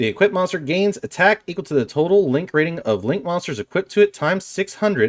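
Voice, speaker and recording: Very fast, lively intonation from a man with a high pitch, in a very clean recording with a silent background and a dry, close sound with no echo. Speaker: card game youtuber. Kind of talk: deck profile tutorial. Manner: reads card text aloud.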